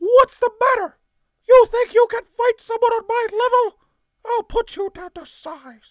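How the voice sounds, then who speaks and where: Put-on character voice from a man, pitched extremely high. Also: moderate pace. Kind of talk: character voice demo.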